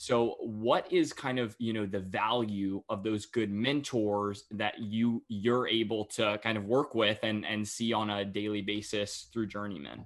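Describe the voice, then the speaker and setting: An unremarkable speaking voice from a man with an American accent, fairly low in pitch, at a fairly slow pace with fairly even intonation, against a quiet background. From North Carolina (Cary, near Raleigh). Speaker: podcast host. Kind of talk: interview conversation.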